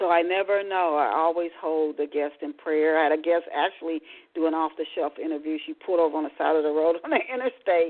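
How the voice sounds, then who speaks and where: Fairly low pitch from a woman, delivered at a fairly quick pace. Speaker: radio talk show host; author. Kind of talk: live radio show host talk. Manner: casual, hesitant.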